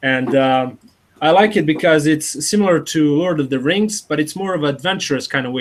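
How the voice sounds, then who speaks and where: Fairly quick delivery with ordinary pitch variation. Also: man. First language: not English (native language differs). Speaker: interviewee being personality-typed. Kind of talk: interview. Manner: halting.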